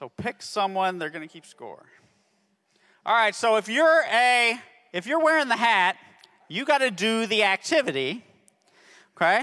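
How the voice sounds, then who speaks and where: On a very clean recording with a silent background, a man uses a raised, projected voice that is high-pitched, bright and sharp, in an animated, upbeat tone. He keeps a moderate pace with long, frequent pauses and very wide pitch swings. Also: big swings in loudness. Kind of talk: game show host patter. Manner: animated, upbeat, playful showman energy.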